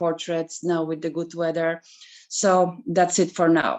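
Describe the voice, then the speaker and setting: A woman speaks with a non-native accent. Her pitch is fairly low and her pace moderate. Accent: foreign. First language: not English. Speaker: photographer. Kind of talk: elevator pitch.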